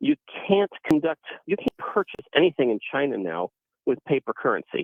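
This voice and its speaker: His pitch rises and falls very widely. The man keeps a fairly quick pace. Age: 60s. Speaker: caller. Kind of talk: call-in radio conversation. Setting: phone call. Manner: halting, many fillers.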